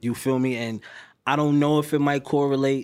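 A man with a New York accent at a moderate pace, fairly even in intonation, on a very clean recording with a silent background. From New York City. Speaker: rapper. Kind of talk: casual interview chat. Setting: podcast studio.

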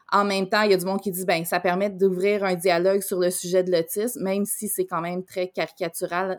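Medium-pitched woman's voice on a very clean recording with a silent background. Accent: Quebec. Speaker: podcast co-host. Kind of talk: casual chat.

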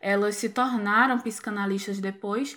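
A woman talks fairly slowly, captured on a very clean recording against a silent background. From Pernambuco, Brazil. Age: 20s. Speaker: clinical psychologist. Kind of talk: casual chat.

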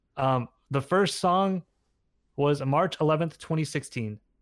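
A man talks with ordinary pitch variation. The recording is very clean, the background silent. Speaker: content creator. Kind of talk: casual chat. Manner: self-conscious about own voice.

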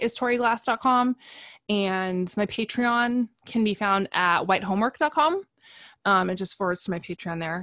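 A woman with a medium pitch and a bright, sharp tone talks at a moderate pace with ordinary pitch variation, recorded very cleanly against a silent background with a dry, close sound and no echo. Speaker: anti-racist educator and writer. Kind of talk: interview conversation about race.

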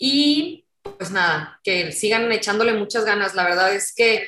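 Moderate pace and fairly high pitch from a woman with an unremarkable speaking voice. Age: 30s. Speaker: activist and political scientist. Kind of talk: interview.

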